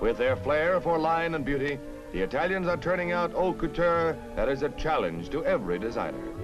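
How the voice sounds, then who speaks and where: A man at a fairly quick pace, very even loudness, music in the background. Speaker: newsreel announcer. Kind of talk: 1950s newsreel narration. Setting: vintage archival recording. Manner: authoritative, brisk.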